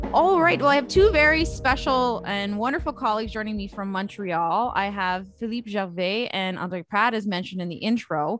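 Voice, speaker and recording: Using an ordinary speaking voice, a woman talks at a medium pitch and moderate pace with lively intonation and hardly any pauses. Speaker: podcast host. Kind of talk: casual panel discussion.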